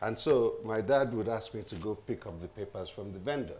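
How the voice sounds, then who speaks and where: At a moderate pace, a man with a Nigerian accent speaks at a fairly low pitch with ordinary pitch variation over light background noise. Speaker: journalist. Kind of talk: panel discussion. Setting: stage with audience. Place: hall. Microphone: camera far.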